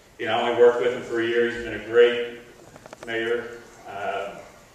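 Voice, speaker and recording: A man's voice in strong room echo. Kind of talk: speech. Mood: grateful, slightly emotional. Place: stage.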